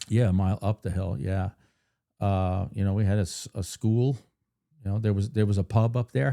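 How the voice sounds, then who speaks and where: With an American accent and a dark, mellow tone, a man at fairly low pitch speaks with ordinary pitch variation and long, frequent pauses, in a dry, close sound with no echo on a very clean recording with a silent background. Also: moderate pace. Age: 50s. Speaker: podcast host. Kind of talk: scripted introduction; casual interview chat.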